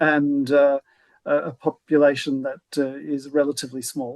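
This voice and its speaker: The speech moves at a fairly slow pace with fairly even intonation, recorded dry and close with no echo. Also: man. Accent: Australian. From Australia. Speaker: law professor. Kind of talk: webinar discussion. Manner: halting.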